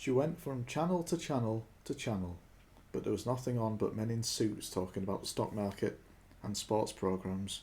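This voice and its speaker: With a British accent, a man speaks at medium pitch and a moderate pace. His voice is somewhat breathy, with lively intonation. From Britain. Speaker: audiobook reader. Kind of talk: audiobook narration. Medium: read story.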